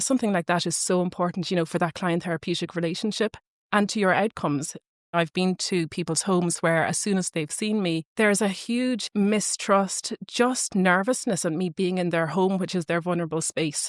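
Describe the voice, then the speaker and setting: A woman with an Irish accent, medium pitch and ordinary pitch variation at a moderate pace, in a very clean recording with a silent background and a dry, close sound with no echo. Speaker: speech and language therapist. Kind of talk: podcast discussion.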